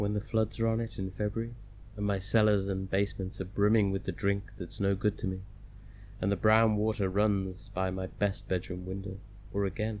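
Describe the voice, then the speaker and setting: Using a British accent, a man speaks at a moderate pace in a soothing tone. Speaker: audiobook narrator. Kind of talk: audiobook reading. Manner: restful, soothing.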